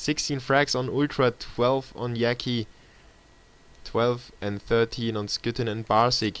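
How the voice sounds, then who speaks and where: Speaking at a very slow pace with a German accent, a man keeps a medium pitch and monotone, flat intonation. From Germany, Munich. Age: 20s. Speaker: esports caster. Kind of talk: live commentary. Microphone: laptop stream.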